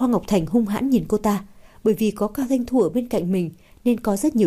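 The pitch varies in an ordinary way while someone is reading aloud in a natural voice.

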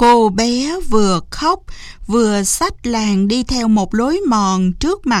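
The speaker reads in an unforced reading voice, the intonation lively.

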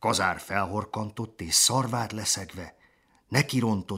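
Natural reading voice

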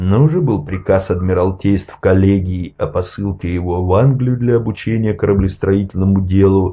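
The passage is read aloud in a natural voice with ordinary pitch variation.

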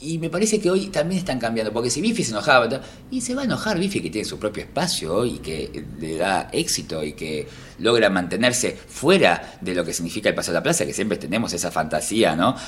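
A man's voice with very wide pitch swings. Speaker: stand-up comedian. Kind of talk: casual interview chat.

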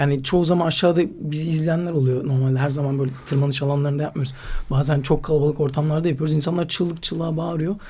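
Almost without pauses, a man rushes along at a very fast pace in a somewhat breathy voice with a dark, mellow tone and monotone, flat intonation. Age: 20s. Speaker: slackline athlete and climber. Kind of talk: casual interview.

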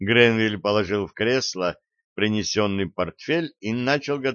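Ordinary pitch variation in an unforced reading voice, quiet background

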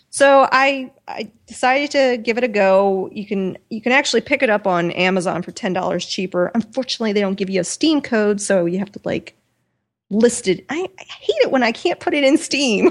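A woman speaks in an unremarkable speaking voice, fairly high in pitch, with lively intonation. The recording is very clean, with a silent background. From US Midwest. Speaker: podcast co-host. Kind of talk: casual chat.

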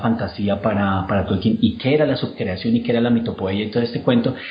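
A man with a Colombian accent speaks at medium pitch over noticeable background noise. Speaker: university professor. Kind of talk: interview.

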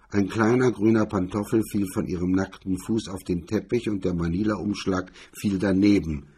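The speaker reads in a natural reading voice, keeping the intonation fairly even.

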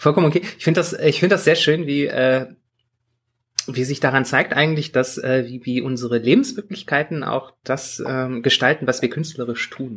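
A man speaks at a moderate pace in a normal speaking voice, fairly high in pitch with ordinary pitch variation. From Bergisches Land, Germany. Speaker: podcast co-host. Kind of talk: casual chat.

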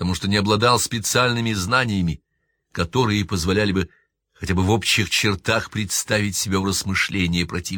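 The text is read out naturally while the background stays quiet.

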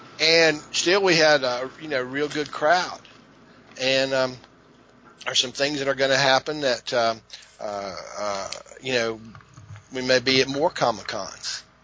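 Over noticeable background noise, a man speaks at a fairly slow pace and medium pitch, with ordinary pitch variation and long, frequent pauses. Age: 50s. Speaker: classic arcade video game record holder. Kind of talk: casual interview chat. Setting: remote call.

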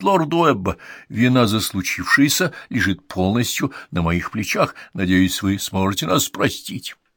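Someone does plain reading aloud, the intonation rising and falling in a lively way.

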